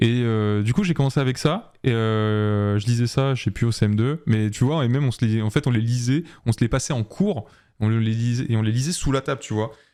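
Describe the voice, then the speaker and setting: A man's medium-pitched voice at a moderate pace with ordinary pitch variation, in a very clean recording with a silent background. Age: 20s. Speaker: illustrator and art director. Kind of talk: podcast interview. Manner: hesitant, many fillers.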